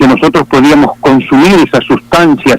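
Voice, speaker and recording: A man speaks at a moderate pace with lively intonation. The sound is dry and close with no echo, and there is noticeable background noise. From Argentina. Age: 60s. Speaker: pastor. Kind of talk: testimony. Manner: halting.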